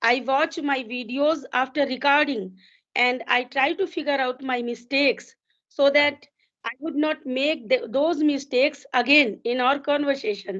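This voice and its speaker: A woman's high voice with an Indian accent, ordinary pitch variation and a fairly slow pace. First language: Hindi. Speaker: English learner. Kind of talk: casual conversation practice. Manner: halting, with frequent fillers.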